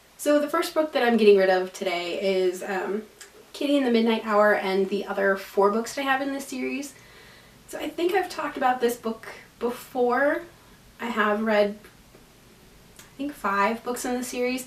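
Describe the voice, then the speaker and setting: Against noticeable background noise, a woman speaks at a fairly high pitch with lively intonation, big swings in loudness, and long, frequent pauses. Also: moderate pace. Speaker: book vlogger. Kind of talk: casual vlog talk. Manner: casual, filler-heavy.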